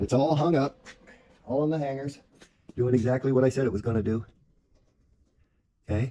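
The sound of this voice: A man with a dark, mellow tone talks at a moderate pace, his pitch varying in an ordinary way. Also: medium pitch for a man.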